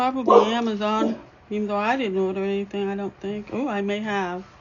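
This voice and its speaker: Over noticeable background noise, the speaker keeps a fairly even intonation at a fairly quick pace. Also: woman, medium pitch for a woman. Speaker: dot mandala painting teacher. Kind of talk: live tutorial. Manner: quiet while concentrating.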